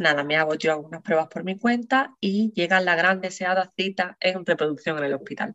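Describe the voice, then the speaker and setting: Speaking at a moderate pace, a woman with a medium pitch shows ordinary pitch variation. She takes hardly any pauses. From Andalusia, Spain (San Fernando, Cádiz). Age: 20s. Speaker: perinatal psychologist. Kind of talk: interview, personal testimony. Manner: hesitant, many fillers.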